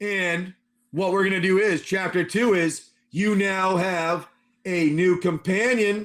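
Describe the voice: Against a quiet background, the voice reads aloud plainly with fairly even intonation.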